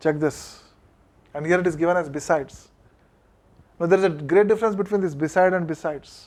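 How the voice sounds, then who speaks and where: Using an Indian accent, a man talks at a fairly quick pace in a high pitch, with fairly even intonation and long, frequent pauses. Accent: Indian English (Telugu). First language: Telugu. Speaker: college English lecturer. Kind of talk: classroom lecture.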